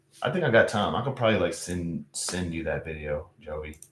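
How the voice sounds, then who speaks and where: A man with a Louisiana accent talks at a moderate pace. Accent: US Southern, Louisiana. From Louisiana, Baton Rouge. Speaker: live streamer. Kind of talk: casual chat. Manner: halting, repeats words.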